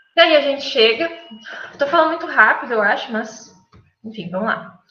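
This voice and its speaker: With lively intonation and big swings in loudness, a woman speaks at a moderate pace in a high pitch, with audible room echo. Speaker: architect, guest lecturer. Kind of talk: lecture. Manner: halting, many fillers and self-corrections.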